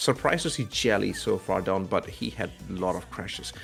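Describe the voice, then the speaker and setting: A man talks at a moderate speed. Music can be heard behind him. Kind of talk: casual, announcing game results.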